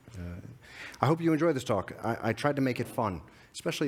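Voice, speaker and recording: A man in an American accent speaks at a very rapid speed. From United States. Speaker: security advisor, conference speaker. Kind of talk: conference talk. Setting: stage with audience. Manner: halting, filler words.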